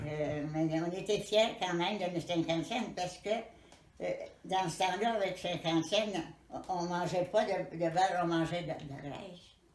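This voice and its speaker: The voice moves at a fairly slow pace with fairly even intonation over noticeable background noise. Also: woman, fairly low pitch for a woman. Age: 80s+. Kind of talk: interview answer.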